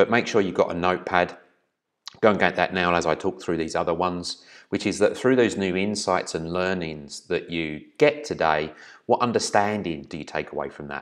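At a moderate pace, a man talks with a very deep, low pitch. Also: ordinary pitch variation, quiet background. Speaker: business trainer. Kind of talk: presentation. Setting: video recording. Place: home room. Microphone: webcam.

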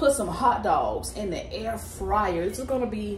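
At a fairly slow pace, a woman talks amid light background noise and audible room echo. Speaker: home cooking vlogger. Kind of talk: casual vlog chat. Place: home room. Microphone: phone near.

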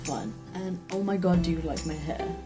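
At a fairly slow pace, a woman speaks while clear music plays in the background. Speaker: book vlogger. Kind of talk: casual talk to camera. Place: home room. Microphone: webcam.

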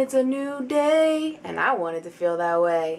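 Sing-song and animated, a woman talks at a fairly slow pace in a high pitch with very wide pitch swings. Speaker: poet and blogger reading her own poem. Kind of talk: rhyming spoken-word poem read aloud, playful and confessional. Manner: animated, sing-song rhythm with a teasing, humorous tone. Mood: playful, light-hearted. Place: home room. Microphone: camera far.

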